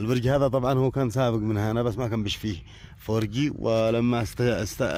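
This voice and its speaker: A man speaks with a Yemeni accent at a moderate pace. His pitch is medium. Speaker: poet and video blogger. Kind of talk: casual vlog commentary. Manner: animated.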